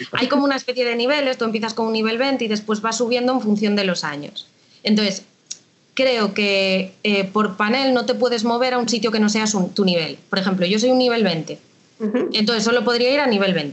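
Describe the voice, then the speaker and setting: At a fairly quick pace, a woman talks with a fairly high pitch, ordinary pitch variation and very even loudness. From Galicia, A Coruña. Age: 30s. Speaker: tax administration civil servant. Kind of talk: interview. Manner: casual, hesitant.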